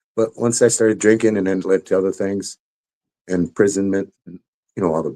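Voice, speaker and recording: A dark, mellow tone at a fairly quick pace, dry and close with no echo. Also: man. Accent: American. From US Midwest, Illinois. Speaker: former army paratrooper in recovery. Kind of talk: interview testimony.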